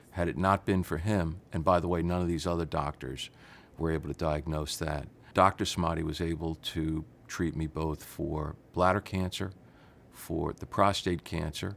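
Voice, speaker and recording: With a New York accent, a man speaks at a moderate pace in a very deep, low pitch and fairly even intonation. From New York City. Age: 60s. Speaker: patient giving testimonial. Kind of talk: testimony.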